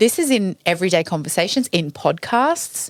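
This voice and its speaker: A woman's lively intonation comes through in a dry, close recording with no echo. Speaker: public speaking coach. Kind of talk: interview.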